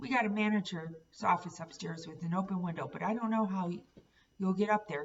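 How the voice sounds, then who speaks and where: A woman uses a put-on character voice that is raspy, at a medium pitch with ordinary pitch variation. She talks at a fairly quick pace. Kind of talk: classroom read-aloud. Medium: read story. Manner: laconic.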